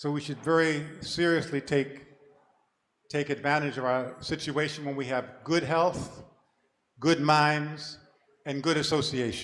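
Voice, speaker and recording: Speaking at a fairly slow pace with long, frequent pauses, a man with a fairly high pitch keeps a monotone, flat intonation. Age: 70s. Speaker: senior monk giving a remembrance talk. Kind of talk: memorial talk.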